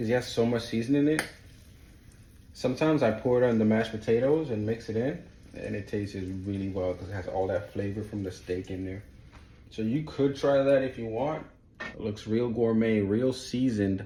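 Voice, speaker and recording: Audible room echo surrounds a man whose somewhat breathy voice has a dark, mellow tone. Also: medium pitch for a man, ordinary pitch variation, fairly quick pace. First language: not English. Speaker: home cook, cooking video host. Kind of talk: cooking tutorial. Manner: casual, conversational.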